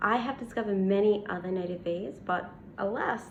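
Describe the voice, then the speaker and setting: The speaker has an Australian accent, a fairly slow pace and fairly even intonation, with audible room echo around the voice. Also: woman. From Australia, Western Australia. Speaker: bee scientist and science communicator. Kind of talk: casual Q&A to camera. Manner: hesitant with many fillers.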